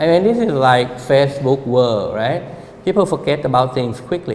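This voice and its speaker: Over noticeable background noise, a man with a medium-pitched voice speaks at a moderate pace with lively intonation. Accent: Thai. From Thailand. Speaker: architect. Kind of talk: public talk.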